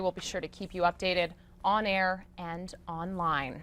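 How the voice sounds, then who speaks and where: This woman has a plain, everyday voice with an American accent, medium pitch, and a moderate pace. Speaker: TV news anchor and reporter. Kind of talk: TV news anchor and reporter delivery. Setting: studio news desk.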